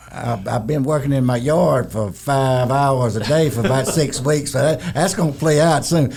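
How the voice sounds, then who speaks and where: The man's voice has a dark, mellow tone. His delivery comes at a moderate pace. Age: 70s. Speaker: retired construction executive. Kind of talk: casual interview. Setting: studio.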